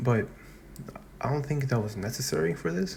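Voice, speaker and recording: A somewhat breathy man's voice at a moderate pace. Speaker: anime and manga reviewer. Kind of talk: casual video review. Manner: halting, many fillers and restarts.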